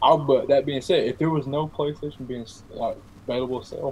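A man speaks at a fairly high pitch, somewhat breathy. Light background noise sits behind him. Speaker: podcast guest, law student; podcast guest. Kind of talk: casual chat. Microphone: video call.

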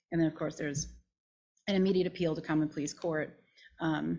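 With fairly even intonation, the words come at a very fast pace. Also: woman. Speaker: planning and zoning official; council presenter. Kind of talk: explanatory presentation. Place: meeting room. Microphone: podium.

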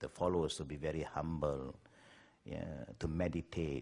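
A man talks at an unhurried, medium speed. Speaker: speaker. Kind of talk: interview answer. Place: home room.

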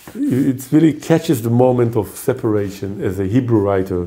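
A dark, mellow tone marks this man's fairly slow delivery. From Israel, Haifa. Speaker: poet. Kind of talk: interview answer. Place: home room.

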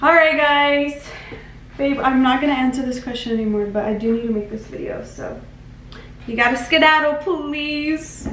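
A woman's high-pitched voice at a moderate pace with ordinary pitch variation, audible room echo and light background noise. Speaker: lifestyle vlogger. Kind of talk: casual vlog chat. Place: home room. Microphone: camera far.

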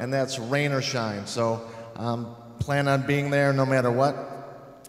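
A man's voice with fairly even intonation and audible room echo. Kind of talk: church announcements. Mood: cheerful, jokey. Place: church. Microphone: handheld.

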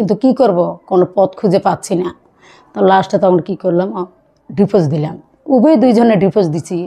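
A woman's dark, mellow tone with ordinary pitch variation over a quiet background. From Bangladesh, Parbatipur (Dinajpur, north); Bangladesh. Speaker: divorced mother seeking remarriage; vlogger sharing personal story. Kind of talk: personal testimony interview. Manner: halting. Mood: earnest, emotional personal account. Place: home room. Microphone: phone near.

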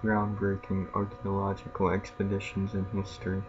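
Over music in the background, a man with a fairly low pitch talks at a moderate pace with ordinary pitch variation. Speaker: gaming YouTuber. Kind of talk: casual gameplay commentary. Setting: home recording, gameplay video. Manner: casual, reactive, mumbling asides.

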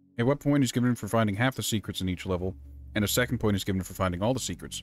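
Lively intonation marks a man's very fast speech, with music playing in the background. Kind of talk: casual gameplay commentary to camera. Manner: conversational, talking to stream viewers.

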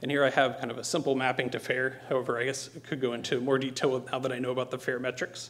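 Speaking at a fast pace, a man has a medium-pitched, fairly bright voice with little pitch movement.

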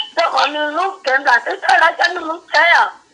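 Her voice raised and projected, a woman speaks at an extremely high pitch and a fairly slow pace, with ordinary pitch variation. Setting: phone call.

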